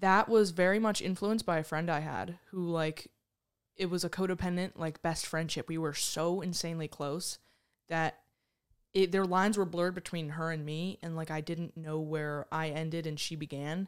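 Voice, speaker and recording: In a very clean recording with a silent background, a woman with a plain, everyday voice speaks at a moderate pace, fairly low in pitch, with fairly even intonation. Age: 20s. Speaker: mentorship program alumna. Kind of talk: testimony.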